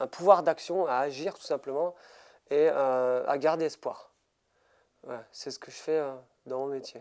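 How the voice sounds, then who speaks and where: A man's fairly high voice, fairly slow and fairly even in intonation, with long, frequent pauses and big swings in loudness. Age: 30s. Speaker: motivational speaker and mental coach. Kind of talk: interview. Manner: halting, many hesitations.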